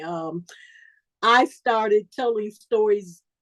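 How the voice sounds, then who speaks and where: With an American accent, a woman speaks at a very slow pace in a fairly high pitch, making very wide pitch swings. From Chicago, US Midwest. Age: 70s. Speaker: professional storyteller sharing recovery story. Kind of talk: testimony at a recovery speaker meeting. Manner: conversational with many fillers.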